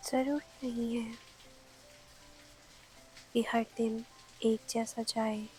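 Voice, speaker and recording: A woman with a fairly high, soothing voice speaks in a monotone with flat intonation. She leaves long, frequent pauses while music plays in the background. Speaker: sleep story narrator. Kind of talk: sleep story, calming bedtime narration. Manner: soft, slow, soothing.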